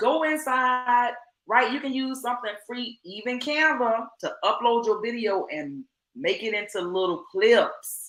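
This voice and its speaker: The tone is animated and the intonation lively. Delivery comes at a fairly slow pace. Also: woman, high pitch for a woman. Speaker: online business coach. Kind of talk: live stream teaching.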